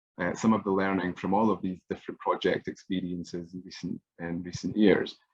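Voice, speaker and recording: A man with a very deep, low voice talks at a fairly quick pace in a flat monotone. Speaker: music evaluation researcher. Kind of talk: online workshop presentation. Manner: fast; hesitant, many fillers.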